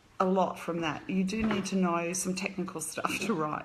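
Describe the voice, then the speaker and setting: In an Australian accent, a woman speaks at a moderate pace and medium pitch, with audible room echo around her. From Australia, Brisbane. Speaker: author. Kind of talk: casual live stream chat. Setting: live video stream. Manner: casual, hesitant with fillers.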